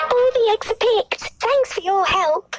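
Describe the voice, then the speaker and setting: A put-on character voice, female-sounding, squeaky and extremely high in pitch, at a moderate pace with faint music in the background. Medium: cartoon. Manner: snooty, superior.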